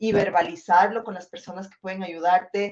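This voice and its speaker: A woman talks in a plain, everyday voice. Her pitch is medium and her pace moderate. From Ecuador. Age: 40s. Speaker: film director. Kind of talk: interview.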